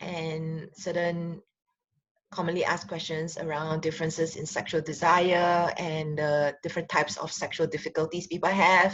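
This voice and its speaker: A woman with a Singaporean accent speaks at a moderate pace. Her voice is fairly low-pitched, with monotone, flat intonation. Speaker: relationship counselor and sexologist. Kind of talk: casual talk to camera. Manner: hesitant, many fillers.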